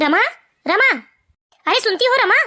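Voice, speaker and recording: Using a put-on character voice, a woman sounds squeaky at an extremely high pitch. Her pitch swings very widely. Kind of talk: calling out to his wife. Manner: shouting, anxious.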